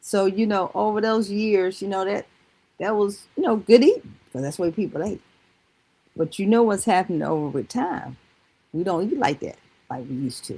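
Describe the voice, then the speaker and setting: A woman speaks in a dark, mellow tone with a slight Southern US accent and lively intonation. Her pace is moderate, broken by long, frequent pauses. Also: medium pitch for a woman. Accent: slight Southern country twang. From North Carolina, Greensboro. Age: 60s. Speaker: product user giving testimony. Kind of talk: testimony.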